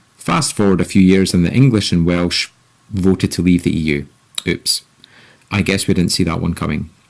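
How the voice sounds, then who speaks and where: Speaking in a Scottish accent, a man with a very deep, low pitch and ordinary pitch variation keeps a moderate pace broken by long, frequent pauses. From Scotland. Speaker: podcast host. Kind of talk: scripted commentary.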